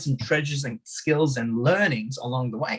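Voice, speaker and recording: Fairly quick, somewhat breathy speech from a man. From Hungary. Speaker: martial arts teacher and podcast guest. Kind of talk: podcast interview.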